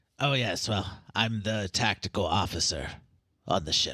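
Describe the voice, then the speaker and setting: A man's put-on character voice, fairly low in pitch, at a moderate pace, on a very clean recording with a silent background. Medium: actual play. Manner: formal, polite.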